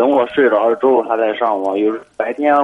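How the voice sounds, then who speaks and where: A man with an unremarkable speaking voice talks at medium pitch and a moderate pace, keeping his intonation fairly even. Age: young. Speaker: caller. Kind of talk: call-in conversation.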